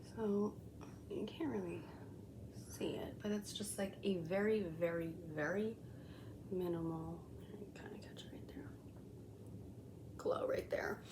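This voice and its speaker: Whispering at a fairly slow pace, the voice shows big swings in loudness and long, frequent pauses, with audible room echo and noticeable background noise. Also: woman. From Colombian heritage. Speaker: beauty vlogger. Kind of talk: makeup review tutorial. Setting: home, kids sleeping nearby. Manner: casual, filler-heavy.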